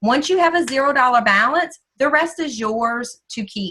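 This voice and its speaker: Raised and projected, a woman's high, bright, sharp voice carries ordinary pitch variation. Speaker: sales manager training new representatives. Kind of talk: training session. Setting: video call. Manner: fast.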